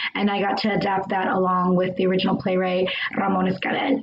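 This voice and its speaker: A woman with an American accent speaks at a moderate pace in a plain, everyday voice, her pitch medium. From US, Mexican American. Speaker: actor and adapter. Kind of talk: panel discussion. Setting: live stream.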